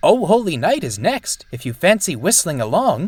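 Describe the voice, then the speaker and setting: Using a put-on character voice, a man speaks at a moderate pace and high pitch with very wide pitch swings. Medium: read story.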